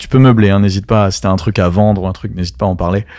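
Fairly low male speech on a very clean recording over a silent background. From France, Strasbourg (Alsace). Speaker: DJ. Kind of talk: casual interview. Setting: in a venue in Paris.

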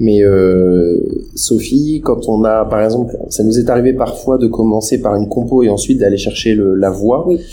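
Against noticeable background noise, a man at a medium pitch speaks at a moderate pace with ordinary pitch variation. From France, Loir-et-Cher. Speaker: music producer. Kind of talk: interview. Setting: remote internet call. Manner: halting, many repetitions.

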